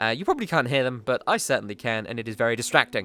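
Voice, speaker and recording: A man speaks at a medium pitch with an English accent. His tone is bright and sharp. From England. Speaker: video game YouTuber. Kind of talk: casual vlog update. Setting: home basement.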